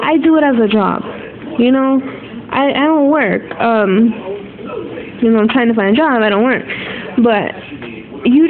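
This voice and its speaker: A fairly high-pitched woman talks against noticeable background noise. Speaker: nail technician and beauty vlogger. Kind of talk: casual tutorial. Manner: casual, filler-heavy.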